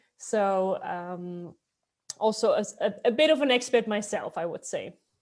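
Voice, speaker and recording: Her pitch is fairly high for a woman, and its variation is ordinary. She speaks at a fairly slow pace. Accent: Dutch. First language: Dutch. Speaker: city expat support advisor. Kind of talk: informational webinar talk.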